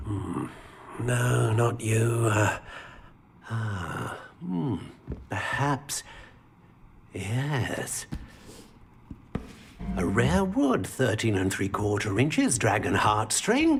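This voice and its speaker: A man puts on a character voice at a medium pitch, mumbling at a very slow pace. Long, frequent pauses break up his speech. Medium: video game. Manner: mumbling, hesitant, full of hums and filler sounds.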